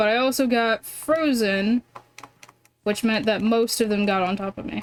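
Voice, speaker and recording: A soft-spoken woman with an American accent, fairly high pitch and a fairly slow pace. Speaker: video game streamer. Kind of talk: live gameplay commentary.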